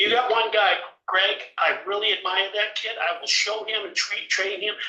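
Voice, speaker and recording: A man projects a raised voice at a high pitch and a moderate pace. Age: 70s. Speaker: vegetable farmer. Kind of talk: committee testimony.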